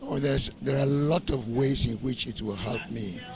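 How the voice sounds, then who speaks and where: Noticeable background noise accompanies this man, whose medium pitch shows ordinary variation as he goes at a moderate pace. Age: 70s. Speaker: pastor and graduate. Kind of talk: interview.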